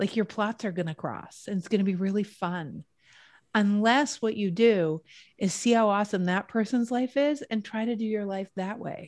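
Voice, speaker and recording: In a very clean recording with a silent background, a woman with an ordinary speaking voice talks at a moderate pace, medium in pitch, with ordinary pitch variation. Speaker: wellness author and speaker. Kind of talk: casual interview chat.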